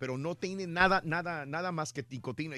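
A man's bright, sharp tone at a fairly quick pace. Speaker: radio host. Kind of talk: morning radio show banter. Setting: studio.

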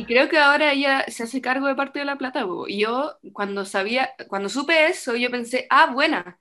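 Over music in the background, a woman with a Chilean accent talks in a raised, projected voice at a high pitch, keeping a moderate pace with ordinary pitch variation and hardly any pauses. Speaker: podcast co-host, theatre student. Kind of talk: casual chat.

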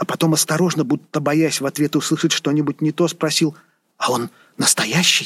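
The voice has a warm tone and a moderate pace, with a dry, close sound with no echo. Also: man. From Saint Petersburg, Russia. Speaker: author and scholar reading own novel excerpt. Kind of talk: literary audiobook reading. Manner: measured, expressive narration, shifting from wry irony to warm tenderness.

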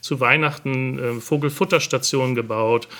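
The man's voice rests at a medium pitch. He shows ordinary pitch variation. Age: 50s. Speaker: hobby gardener and gardening video creator. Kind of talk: casual interview. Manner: hesitant, with many filler sounds.

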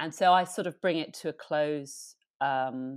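Very clean female speech against total background silence. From London suburbs, England. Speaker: painter. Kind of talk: casual interview chat.

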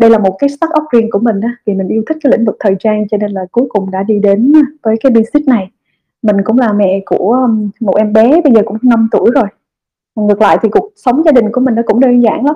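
With music in the background, a woman talks at a very fast pace in a fairly high voice with ordinary pitch variation. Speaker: company executive and startup founder. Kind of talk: online fireside chat talk.

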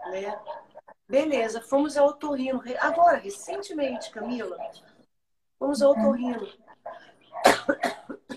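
A woman with a high voice and lively intonation talks at a very slow pace, with long, frequent pauses. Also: big swings in loudness. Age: 50s. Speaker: pastor and worship singer. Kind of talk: testimony. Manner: animated.

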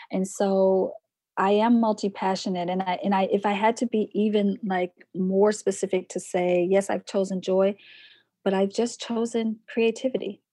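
This woman has a medium pitch and a dark, mellow tone, speaking in a monotone, flat way against a quiet background with a dry, close sound and no echo. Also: moderate pace. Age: 40s. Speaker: poet, book artist and online course teacher. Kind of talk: casual interview conversation.

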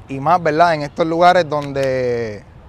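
In a plain, everyday voice, a man speaks fairly slowly at a fairly high pitch with ordinary pitch variation. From Puerto Rico, San Juan public housing. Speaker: motivational speaker and investor. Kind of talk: motivational talk to live audience. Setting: outdoor basketball court event with audience.

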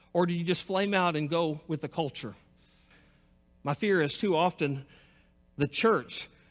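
On a very clean recording with a silent background, a man with a high pitch speaks at a moderate pace with ordinary pitch variation. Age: 50s. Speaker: pastor. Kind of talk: sermon.

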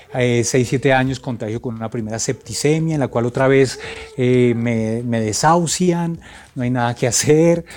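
Noticeable background noise behind a man's moderate-paced speech with ordinary pitch variation. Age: 40s. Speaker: sound engineer and composer. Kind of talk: testimony.

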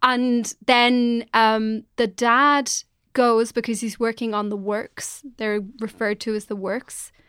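Speaking very slowly in an Irish accent, a woman with a fairly high pitch keeps a monotone, flat intonation on a very clean recording with a silent background. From Ireland. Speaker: journalist and podcast co-host. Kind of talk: casual chat.

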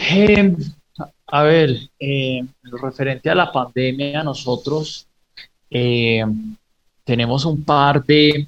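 The speech moves at a very slow pace with long, frequent pauses. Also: man, fairly high pitch for a man, ordinary pitch variation. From Pereira, Colombia and raised in the US. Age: 30s. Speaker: startup founder and investor. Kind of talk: radio interview. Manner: halting, many repetitions.

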